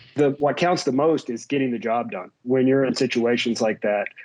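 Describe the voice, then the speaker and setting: A man speaks with a slight West Virginia accent. His pitch is fairly high, with ordinary variation. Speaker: tech executive and army veteran. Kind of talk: interview.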